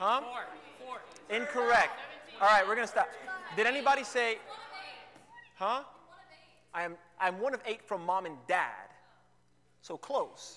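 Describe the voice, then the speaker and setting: A man speaks in a raised, projected voice with an animated tone, high pitch and ordinary pitch variation. His pace is moderate, broken by long, frequent pauses. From New York City. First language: Spanish. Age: 20s. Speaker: youth speaker. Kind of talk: youth talk. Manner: casual, animated.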